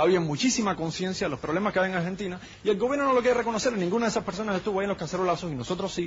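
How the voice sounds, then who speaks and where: A man with a Cuban accent and a high pitch speaks very fast with hardly any pauses and ordinary pitch variation. Noticeable background noise is present. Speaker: political activist. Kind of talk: heated debate.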